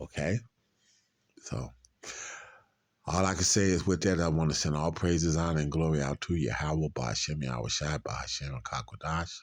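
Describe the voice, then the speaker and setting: A man with a very deep, low pitch and vocal fry speaks at a moderate pace with ordinary pitch variation and long, frequent pauses. The recording is very clean, with a silent background. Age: 60s. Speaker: street preacher. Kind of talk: religious commentary. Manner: halting, repetitive.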